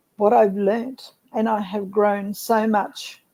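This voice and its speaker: Here is a woman with an Australian accent and a fairly high pitch. Her tone is dark and mellow. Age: 70s. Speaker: network marketer. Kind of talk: casual interview chat.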